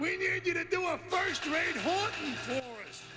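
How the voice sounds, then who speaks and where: Over loud background noise, someone shouts in a cartoonish character voice. The pace is moderate. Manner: gruff, pushy.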